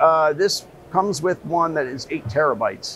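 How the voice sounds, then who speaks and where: At a moderate pace, a man talks in a high pitch over light background noise. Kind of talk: interview answer. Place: hall.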